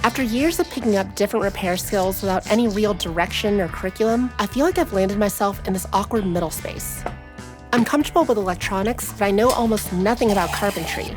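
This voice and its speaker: Over music in the background, a woman speaks very fast at medium pitch with ordinary pitch variation. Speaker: guitar repair hobbyist and musician. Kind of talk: documentary voiceover narration.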